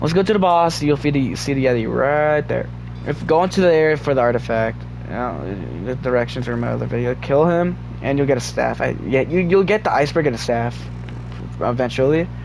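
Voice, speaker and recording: A man's speech comes through with noticeable background noise and audible room echo. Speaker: gaming video creator. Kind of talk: tutorial. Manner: halting.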